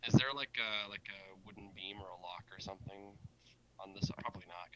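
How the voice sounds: Fairly quick pace, bright, sharp tone and fairly even intonation. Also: man, low pitch for a man.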